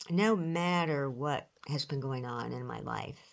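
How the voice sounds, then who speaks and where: A woman with an American accent speaks in a very deep, low pitch at a very slow pace. The recording is very clean, with a silent background. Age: 70s. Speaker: retired pastor. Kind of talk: sermon.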